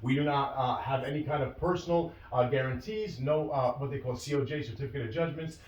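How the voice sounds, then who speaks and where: A man with an American accent talks at a very fast pace, his fairly high voice showing ordinary pitch variation. Noticeable background noise and audible room echo surround him. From New York. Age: 20s. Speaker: merchant cash advance business owner. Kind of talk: interview. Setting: video call.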